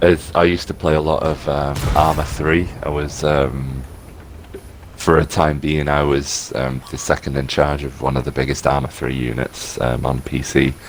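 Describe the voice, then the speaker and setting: Over noticeable background noise, a man talks in a very deep, low voice. His intonation is monotone and flat, his pace moderate. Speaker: gaming community liaison. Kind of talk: casual chat. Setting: live stream.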